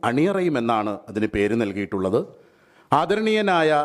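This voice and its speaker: This man speaks at a fairly high pitch. His pitch swings very widely. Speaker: event organiser. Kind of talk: event announcement statement. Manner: halting.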